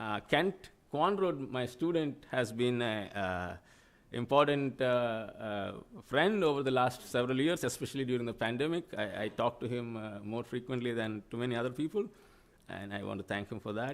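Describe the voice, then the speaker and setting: A man with a Telugu accent talks at a moderate pace in a medium pitch, his intonation lively. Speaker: professor. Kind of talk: acceptance speech. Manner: halting.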